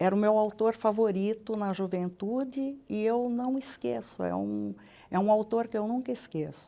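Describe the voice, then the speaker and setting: A woman talks at a fairly slow pace with fairly even intonation. Her tone is dark and mellow. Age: 70s. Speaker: retired public prosecutor. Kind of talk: interview. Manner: halting.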